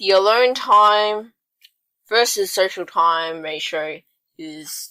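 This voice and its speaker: A woman's voice carries a bright, sharp tone with ordinary pitch variation. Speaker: podcast host. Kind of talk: casual chat.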